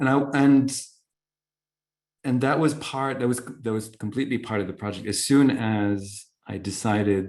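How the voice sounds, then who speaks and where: Over a silent background in a very clean recording, a man talks at a very slow pace with ordinary pitch variation. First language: not English (Arabic or French). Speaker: poet. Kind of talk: Q&A discussion at a book launch. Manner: halting, many restarts.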